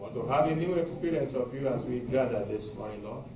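At a fairly quick pace, a man speaks with audible room echo and noticeable background noise. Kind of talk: spoken prayer. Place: hall.

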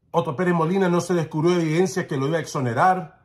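Against a quiet background, a man with a high pitch speaks at a fairly quick pace in an animated tone. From not Guatemala. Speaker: political commentator. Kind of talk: opinion monologue. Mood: indignant, defiant. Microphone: phone near.

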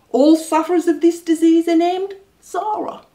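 A woman talks at a moderate pace in an extremely high voice. The background is quiet. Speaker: comic storyteller. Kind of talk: comic reading. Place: home room.

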